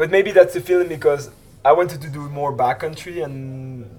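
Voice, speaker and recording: There is noticeable background noise. A man talks with fairly even intonation. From Switzerland. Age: 20s. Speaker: freeride skier and film producer. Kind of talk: casual interview.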